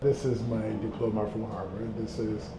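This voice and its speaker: With an American accent, a man speaks at medium pitch and a moderate pace amid noticeable background noise and audible room echo. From Ghana. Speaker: plastic surgeon. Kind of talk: office tour; interview, life story. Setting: consultation office.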